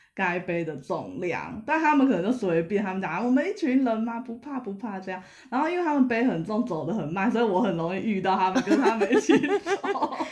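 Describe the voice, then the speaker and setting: Noticeable background noise under speech at a fairly quick pace. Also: hardly any pauses. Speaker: podcast guest, hiker. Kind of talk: casual chat. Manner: peculiar way of speaking.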